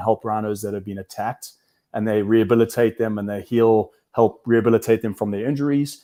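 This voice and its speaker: A man's dark, mellow voice at medium pitch, monotone and flat in intonation. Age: 40s. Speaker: wildlife conservationist and entrepreneur. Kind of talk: interview.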